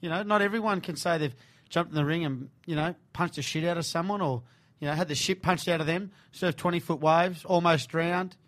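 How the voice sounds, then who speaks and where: Speaking very fast, a man with an Australian accent uses a high pitch and fairly even intonation. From Sydney, Australia (Bondi). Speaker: radio host. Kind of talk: casual interview. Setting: radio studio.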